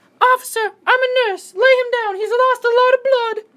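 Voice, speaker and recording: In a put-on character voice, a woman squeaks at an extremely high pitch while keeping a moderate pace. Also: monotone, flat intonation. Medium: audio drama.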